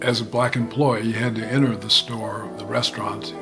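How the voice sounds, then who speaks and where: A man's medium-pitched voice at a moderate pace, with ordinary pitch variation, audible room echo and music in the background. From Davenport, Iowa (born in Alabama). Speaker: storyteller. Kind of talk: storytelling. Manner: subtle inflections.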